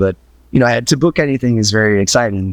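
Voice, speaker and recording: This is a very clean recording with a silent background. The man speaking has an American accent and ordinary pitch variation. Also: dry, close sound with no echo. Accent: mostly American, slight Brazilian. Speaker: voice actor. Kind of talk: interview. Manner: halting, with many restarts.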